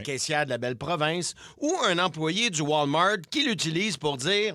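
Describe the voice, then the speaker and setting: A man in a Quebec accent, fairly high in pitch, with lively intonation, very even loudness, and a moderate pace. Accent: Québécois French. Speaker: radio host. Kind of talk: comedic radio segment banter.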